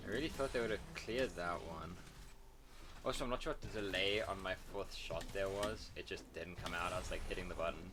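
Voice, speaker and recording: Recorded with audible room echo, a man with an American accent talks at a fairly quick pace. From South Africa. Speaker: gamer streamer. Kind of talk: gameplay commentary. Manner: casual, halting with repeats.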